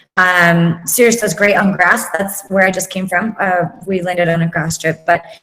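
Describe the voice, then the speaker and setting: At a moderate pace, a woman with an American accent speaks at a medium pitch with fairly even intonation. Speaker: corporate pilot. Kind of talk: interview on live online show. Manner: hesitant, many fillers.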